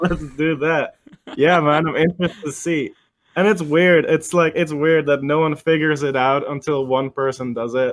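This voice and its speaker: This man has a slight Dutch-American accent and a fairly high pitch. He keeps a fairly even intonation at a moderate pace. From Netherlands, near Amsterdam. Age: 20s. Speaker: music producer. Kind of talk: casual interview chat.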